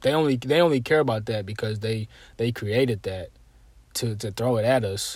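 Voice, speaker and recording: Somewhat breathy and medium in pitch, a man talks at a moderate pace with ordinary pitch variation in a very clean recording with a silent background. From South Carolina. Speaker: podcast host. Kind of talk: casual monologue. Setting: solo recording. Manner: casual, with many fillers and repetitions.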